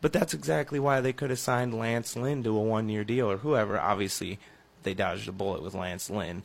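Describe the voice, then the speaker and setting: A man with a plain, everyday voice talks fairly quickly at a fairly low pitch, his intonation lively. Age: 20s. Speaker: sports radio co-host. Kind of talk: sports talk radio. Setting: radio studio.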